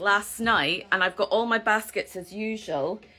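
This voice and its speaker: A woman with a Scottish accent speaks at a moderate pace with a fairly high pitch and a bright, sharp tone. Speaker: yarn shop owner, knitting host. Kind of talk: live stream chat about knitting patterns. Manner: casual, chatty with fillers.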